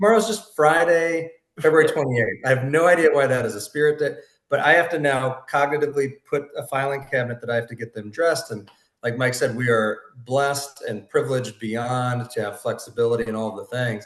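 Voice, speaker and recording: With a plain, everyday voice, a man talks at a fairly quick pace and a fairly high pitch. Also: ordinary pitch variation. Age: 40s. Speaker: podcast host. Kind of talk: casual chat.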